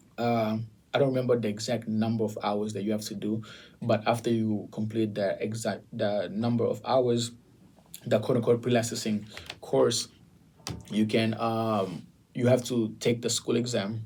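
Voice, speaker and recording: A man speaks with a non-native accent at a medium pitch. His intonation is monotone and flat, and his pace is moderate. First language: not English. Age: 20s. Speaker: realtor. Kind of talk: casual chat.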